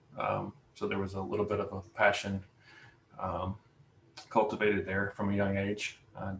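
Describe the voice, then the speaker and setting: A man speaks with an American accent at a fairly low pitch. Noticeable background noise can be heard. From US South, Alabama. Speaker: prospective club member, ham radio hobbyist. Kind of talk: self-introduction in club meeting. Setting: video call.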